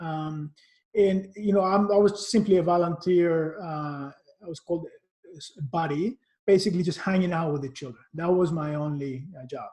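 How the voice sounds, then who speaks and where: Speaking with a Cypriot accent, a man has a high pitch, a dark, mellow tone, ordinary pitch variation and big swings in loudness. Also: moderate pace. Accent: Greek Cypriot. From Cyprus. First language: Greek. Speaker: marketing executive. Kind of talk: interview. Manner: halting.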